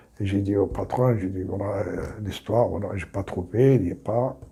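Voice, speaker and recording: Somewhat breathy, a man speaks at a fairly slow pace and a fairly low pitch with ordinary pitch variation. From Algeria, small town. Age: 70s. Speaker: retired immigrant telling life story. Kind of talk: personal testimony interview.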